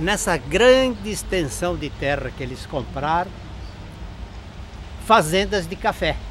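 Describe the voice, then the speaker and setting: A man at a very slow pace, with long, frequent pauses, big swings in loudness and noticeable background noise. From Brazil, Barra Bonita (São Paulo state). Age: 80s+. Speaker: retired history teacher. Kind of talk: storytelling local history to camera.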